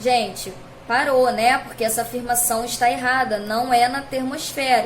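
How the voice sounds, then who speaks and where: A woman with a high-pitched voice is heard amid noticeable background noise and audible room echo. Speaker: school science teacher. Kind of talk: recorded video lesson.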